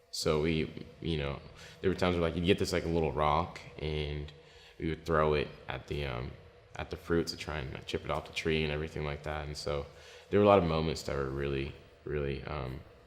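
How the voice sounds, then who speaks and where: Noticeable background noise behind a man's very deep, low voice, fairly quick in pace and fairly even in intonation. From DR Congo (Kinshasa), then Plano, Texas. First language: French. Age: 20s. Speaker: singer-songwriter. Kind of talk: interview testimony. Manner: hesitant, many fillers.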